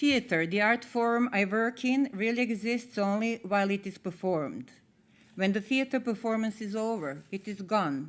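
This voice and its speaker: A woman speaks at a moderate pace with a Serbian accent, her pitch fairly high and its variation ordinary. The recording is very clean, with a silent background. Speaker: theatre artist, award laureate. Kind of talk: award acceptance speech. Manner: formal.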